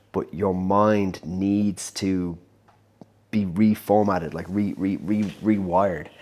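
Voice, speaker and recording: A man speaks with a very deep, low pitch and fairly even intonation on a very clean recording with a silent background. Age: 30s. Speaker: entrepreneur vlogger. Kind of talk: casual vlog monologue. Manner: halting, many repeated words and fillers.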